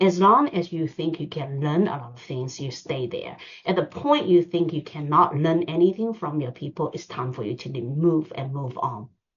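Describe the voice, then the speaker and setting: With a non-native accent, a woman speaks in a very deep, low voice at a moderate pace, with ordinary pitch variation. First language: not English. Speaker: finance executive. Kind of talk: seminar talk. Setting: online seminar. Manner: hesitant, many fillers.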